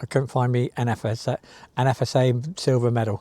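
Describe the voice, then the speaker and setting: A dark, mellow tone with a West Country accent, in a dry, close sound with no echo. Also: man. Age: 60s. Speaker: sea angler vlogger. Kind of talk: casual monologue to camera. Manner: halting.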